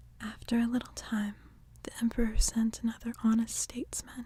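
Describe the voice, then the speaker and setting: Delivered at a moderate pace, the voice has a dark, mellow tone, sounds somewhat breathy and keeps a monotone, flat intonation. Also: woman. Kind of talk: ASMR audiobook story reading. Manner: whispered, soft-spoken.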